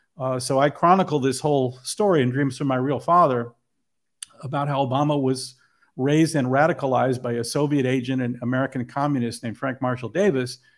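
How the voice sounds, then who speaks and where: A man with a normal speaking voice talks at medium pitch and a fairly quick pace, with fairly even intonation. The recording is very clean with a silent background. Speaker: filmmaker. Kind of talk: interview about his film.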